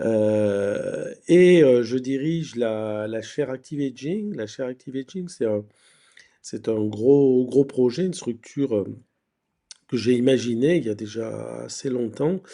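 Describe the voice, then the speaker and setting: Here a man speaks very slowly. His tone is dark and mellow. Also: medium pitch for a man, ordinary pitch variation. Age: 60s. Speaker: university professor and researcher. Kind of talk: conference talk. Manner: hesitant, repeats words.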